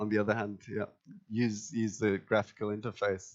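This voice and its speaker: The speech is monotone and flat, in an English accent. It moves at a moderate pace over a quiet background. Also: man. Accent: English-accented English learned in England. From Germany, Tübingen; Germany. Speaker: IT company co-founder; conference presenter. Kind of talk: conference presentation. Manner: many fillers, hesitant. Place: meeting room.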